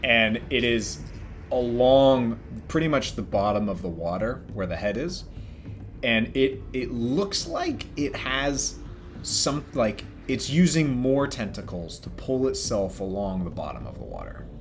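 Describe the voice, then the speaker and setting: Noticeable background noise sits behind a man of medium pitch. He talks at a fairly slow pace with lively intonation. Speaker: dungeon master. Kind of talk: tabletop game narration.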